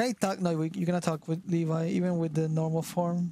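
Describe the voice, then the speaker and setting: With music in the background, a man with a high pitch and a Spanish accent speaks at a fairly quick pace. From Argentina. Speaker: gaming streamer. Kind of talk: casual chat. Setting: live stream collab.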